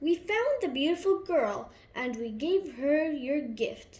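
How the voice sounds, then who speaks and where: The speaker is a woman in a put-on character voice. Her pitch is high, and her pace is fairly slow. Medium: read story.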